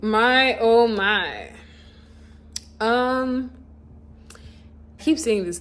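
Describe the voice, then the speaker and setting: A woman mumbles at a very slow pace in a fairly high pitch, with long, frequent pauses and audible room echo. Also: ordinary pitch variation. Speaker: YouTuber answering fan questions. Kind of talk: casual Q&A vlog. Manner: words can run together, mumbled.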